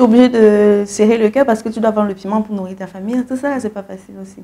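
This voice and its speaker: Her tone dark and mellow, a woman speaks in a monotone, flat intonation. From Cameroon. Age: 30s. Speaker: singer; guest. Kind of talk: interview. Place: studio. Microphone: lapel.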